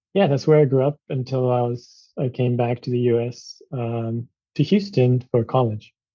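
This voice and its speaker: With a Japanese accent, a man talks at a medium pitch. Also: ordinary pitch variation, moderate pace. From Japan, suburb of Tokyo. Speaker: physician. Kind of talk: interview. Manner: halting, many fillers.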